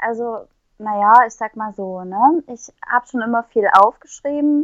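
Fairly high in pitch, a woman speaks at a fairly slow pace. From Saxony, Ore Mountains (eastern Germany). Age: young. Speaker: poet. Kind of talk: casual interview. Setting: remote recording.

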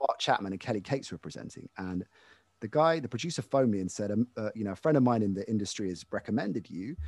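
A very fast, lively man with a fairly low pitch and a British accent, dry and close with no echo. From UK. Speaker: sports broadcaster. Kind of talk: casual interview.

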